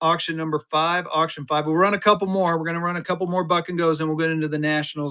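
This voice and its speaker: In a bright, sharp tone, a man is speaking. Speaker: live auction seller of banknotes. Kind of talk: live sales stream. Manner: fast; animated.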